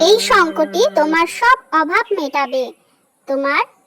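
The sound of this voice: A cartoonish character voice, female-sounding and extremely high-pitched, at a fairly slow pace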